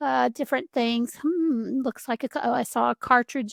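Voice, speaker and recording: Speaking with a Southern US accent, a woman has a fairly high pitch, ordinary pitch variation and a moderate pace. The sound is dry and close with no echo, on a very clean recording with a silent background. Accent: Southern American. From US South. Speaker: home decor creator. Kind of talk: tutorial. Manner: casual.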